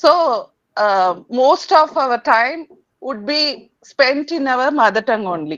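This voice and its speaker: A woman speaks in a Tamil accent with very wide pitch swings. The background stays quiet. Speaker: English learner and channel host. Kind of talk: conversation interview. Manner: halting, many hesitations.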